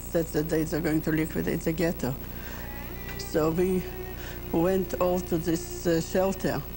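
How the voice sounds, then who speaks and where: Over music in the background, a woman speaks at a moderate pace in a monotone, flat intonation. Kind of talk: interview testimony. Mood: grave, emotional recollection. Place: church.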